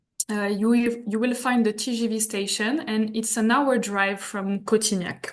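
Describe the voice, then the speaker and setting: A woman speaks with a French accent at a fairly high pitch. Her pace is fairly slow and her intonation fairly even. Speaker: hotel representative. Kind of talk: presentation. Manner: halting.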